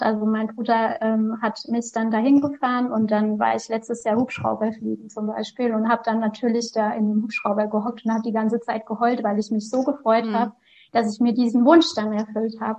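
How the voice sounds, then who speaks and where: Amid noticeable background noise, a woman speaks with hardly any pauses in a monotone, flat intonation. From Lower Franconia, Bavaria (near Aschaffenburg). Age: 30s. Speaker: author and lupus patient. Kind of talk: interview.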